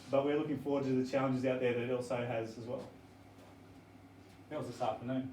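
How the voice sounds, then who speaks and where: A man with an Australian accent is heard over noticeable background noise and audible room echo. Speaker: teacher presenting to parents. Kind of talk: information evening presentation. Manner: fast.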